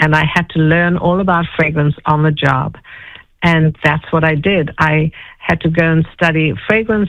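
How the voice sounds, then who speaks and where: With a South African accent, a woman speaks in a fairly low pitch at a moderate pace. Her intonation is fairly even. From South Africa (Johannesburg). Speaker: fragrance expert and entrepreneur. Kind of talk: interview storytelling.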